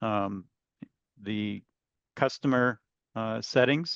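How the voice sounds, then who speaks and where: A man at a very slow pace, fairly even intonation, dry sound with no echo and a quiet background. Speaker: software trainer. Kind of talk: webinar tutorial. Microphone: webcam.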